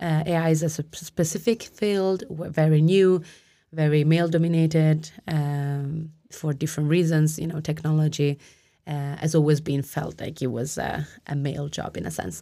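A woman with an Italian accent speaks at a moderate pace in a very deep, low voice with a dark, mellow tone. Her intonation stays fairly even, and the recording is very clean with a silent background. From Italy. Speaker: lawyer and PhD candidate. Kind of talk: live panel discussion. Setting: live release party.

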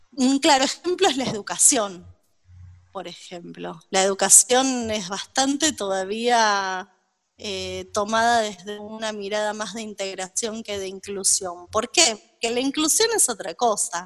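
A woman's fairly high voice at a fairly slow pace, with ordinary pitch variation and big swings in loudness. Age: 40s. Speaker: psychologist. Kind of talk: interview.

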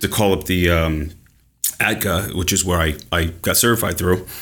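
Very deep and low, a man's voice carries an American accent and fairly even intonation. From New York. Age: 40s. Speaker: ADHD coach. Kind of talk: interview.

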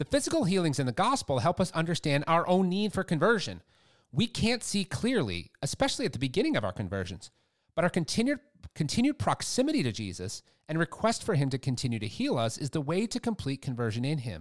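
With vocal fry and very wide pitch swings, a man talks at a very fast pace in a fairly high pitch, recorded very cleanly against a silent background with a dry, close sound and no echo. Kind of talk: fervent prayer; devotional prayer and scripture reading. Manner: fervent, reverent.

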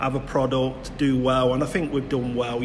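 A man at medium pitch and a fairly quick pace, with audible room echo and noticeable background noise. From Nottingham, England (Clifton). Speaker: community podcast host. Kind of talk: casual interview. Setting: leisure centre.

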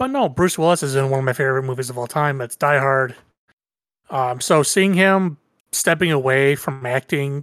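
Speaking at a fairly quick pace in an American accent, a man has an unremarkable speaking voice, a fairly high pitch, and ordinary pitch variation, with a dry, close sound and no echo. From Michigan, US. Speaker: guest. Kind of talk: casual chat. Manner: casual, profane.

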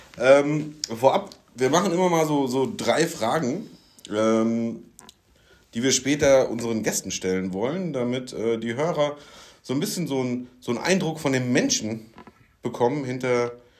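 Pausing long and often, a man talks at a moderate pace and medium pitch with lively intonation. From Rhein-Main region, Germany. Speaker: podcast co-host, smart building sales/solution architect. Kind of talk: casual chat. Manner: hesitant, many fillers.

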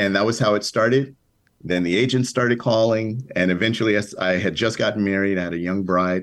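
A man with an American accent has an ordinary speaking voice, fairly low in pitch, with fairly even intonation. He talks at a fairly quick pace against a quiet background. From Chicago South Side. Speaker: TV writer and producer. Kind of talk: interview.

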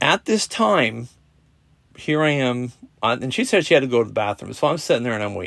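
His pitch swings very widely. The man's voice sits at a medium pitch. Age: 40s. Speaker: podcaster. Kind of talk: casual monologue. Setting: recorded alone on a podcast app at night. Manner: halting, many fillers.

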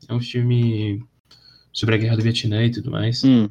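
Somewhat breathy, a man at medium pitch speaks at a fairly slow pace with monotone, flat intonation. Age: 20s. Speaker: podcast guest, film enthusiast. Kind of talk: casual chat.

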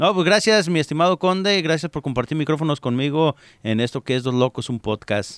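At a fairly quick pace and with lively intonation, a man talks in a plain, everyday voice, fairly high in pitch, with a dry, close sound, no echo, and a very clean recording over a silent background. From Mexico, Jalisco. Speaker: radio host. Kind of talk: casual chat.

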